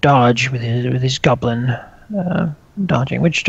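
Reading aloud, plain

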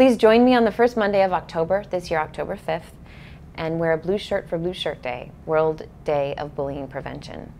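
Over light background noise, a woman talks with lively intonation at a moderate pace. Her voice is fairly low, with a dark, mellow tone. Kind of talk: scripted public service message. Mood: earnest, serious. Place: home room. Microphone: lapel.

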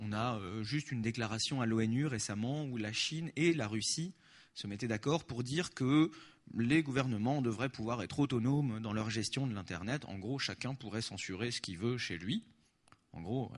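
A man's medium-pitched voice with ordinary pitch variation, moderate pace and a quiet background. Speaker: activist spokesperson. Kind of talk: conference talk with Q&A. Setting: stage with audience. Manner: animated.

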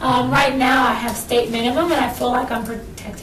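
A woman with a high pitch talks at a fairly quick pace amid light background noise and audible room echo. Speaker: interviewee. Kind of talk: interview answer. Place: meeting room. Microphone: camera far.

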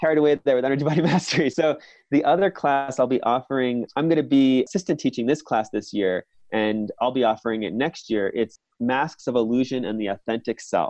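A man with an American accent talks at a fairly quick pace in a normal speaking voice, medium in pitch with ordinary pitch variation, and the sound is dry and close with no echo. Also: quiet background. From New York City. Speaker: shamanic practitioner. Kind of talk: interview.

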